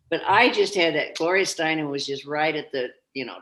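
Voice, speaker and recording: Lively intonation from a woman's voice. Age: 80s+. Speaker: founder of a women's aging movement. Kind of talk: interview. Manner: animated.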